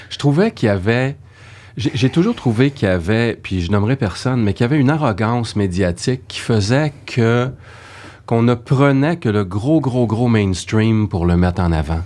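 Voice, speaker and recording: An unremarkable speaking voice from a man at medium pitch, moderate in pace with lively intonation, on a very clean recording with a silent background. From Quebec, Saguenay. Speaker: voice actor. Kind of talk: casual chat.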